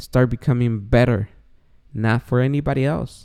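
With a Spanish accent, a man speaks at a medium pitch. His tone is dark and mellow. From Guatemala. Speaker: podcast host. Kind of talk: casual monologue. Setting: home recording late at night. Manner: speaking quietly; joking, self-deprecating.

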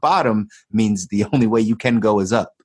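A man with an energetic tone speaks at a medium pitch, and the sound is dry and close with no echo. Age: 30s. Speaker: podcast host, entrepreneur. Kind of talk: casual interview.

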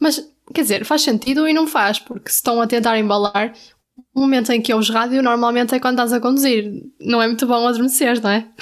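With a European Portuguese accent, a woman speaks at a fairly quick pace in a high pitch, her intonation fairly even. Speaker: podcast co-host, university student. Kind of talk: casual chat. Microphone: new microphone.

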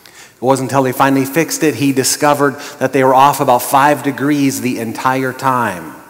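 A man talks at a fairly quick pace with a medium pitch and fairly even intonation. His loudness swings widely, and there is noticeable background noise. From Montana, US. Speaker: pastor. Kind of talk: sermon.

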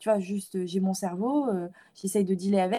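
A woman speaks at a moderate pace with a medium pitch. Her tone is dark and mellow, somewhat breathy. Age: 20s. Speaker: feminist content creator and student. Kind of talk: interview. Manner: halting.

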